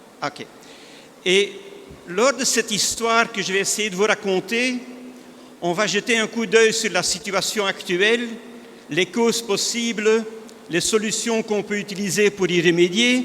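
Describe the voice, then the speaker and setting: Over noticeable background noise, a speaker with a Flemish accent talks at a fairly slow pace, with fairly even intonation and long, frequent pauses. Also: man, high pitch for a man. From northern Belgium (Flanders). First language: Dutch (speaking French). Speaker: industry analyst speaker. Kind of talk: conference presentation.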